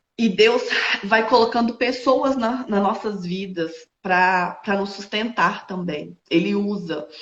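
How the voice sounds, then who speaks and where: Her pitch shows ordinary variation. The woman talks at a very slow pace. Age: 20s. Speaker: entrepreneur and widowed mother. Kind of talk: interview testimony. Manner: halting, many fillers.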